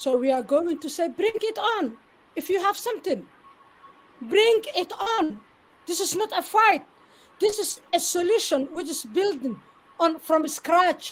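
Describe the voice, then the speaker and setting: A woman with a Somali accent and an extremely high pitch speaks with lively intonation and long, frequent pauses. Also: fairly slow pace. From Somalia, Mogadishu. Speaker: interview guest, network marketer. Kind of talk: live interview.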